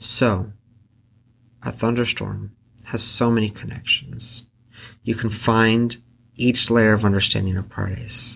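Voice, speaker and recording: Bright and sharp in tone, a man talks at medium pitch in a flat monotone, leaving long, frequent pauses. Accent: Pacific Northwest. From Central Oregon, US. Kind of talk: solo podcast reflection on scripture.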